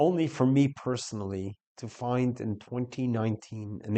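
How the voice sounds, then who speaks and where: Delivered at a moderate pace, an ordinary speaking voice carries ordinary pitch variation. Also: man. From US Northeast, New York. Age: 60s. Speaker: rabbi. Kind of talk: commentary talk / testimony.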